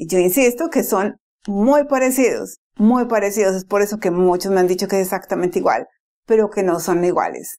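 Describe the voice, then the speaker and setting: A woman's dark, mellow voice of medium pitch carries ordinary pitch variation on a very clean recording with a silent background. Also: moderate pace. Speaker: Spanish-speaking English teacher. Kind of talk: language lesson to camera.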